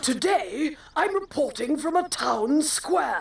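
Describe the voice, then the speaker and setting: A woman does a cartoonish character voice, pitched high and delivered at a fairly slow pace. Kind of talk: mock news report. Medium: puppet.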